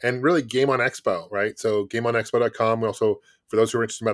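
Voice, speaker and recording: Over a very clean recording with a silent background, a man with an American accent talks very fast at medium pitch in a monotone, flat intonation, the sound dry and close with no echo. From US Pacific Northwest, Bellevue near Seattle. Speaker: gaming YouTuber and game company founder. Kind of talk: casual interview chat.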